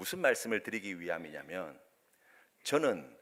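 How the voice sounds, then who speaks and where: A man with vocal fry on a very clean recording against a silent background. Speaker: pastor. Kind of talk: sermon. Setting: church.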